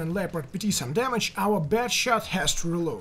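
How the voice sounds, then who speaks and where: A man's voice in a Russian accent with lively intonation, over noticeable background noise. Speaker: video game commentator. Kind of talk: gameplay commentary narration.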